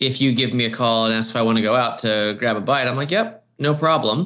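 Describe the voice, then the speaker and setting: A man with a plain, everyday voice at a medium pitch and moderate pace, on a very clean recording with a silent background. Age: 40s. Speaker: church creative pastor turned marketing agency owner. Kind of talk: casual chat.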